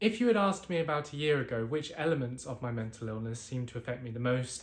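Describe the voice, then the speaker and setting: Speaking with a British accent, a man talks at a fairly quick pace with lively intonation. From UK. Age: 20s. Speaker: mental health vlogger. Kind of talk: personal testimony.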